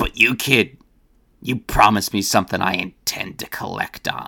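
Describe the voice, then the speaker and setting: Putting on a character voice, a man sounds gruff, raspy and growling at a fairly low pitch and a moderate pace. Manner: growling, menacing.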